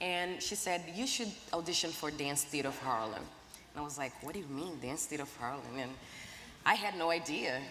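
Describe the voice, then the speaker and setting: In a Portuguese accent, a woman with a very deep, low pitch talks at a fairly quick pace with ordinary pitch variation and audible room echo. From Brazil. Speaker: ballet dancer and activist. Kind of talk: panel discussion. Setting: stage with audience.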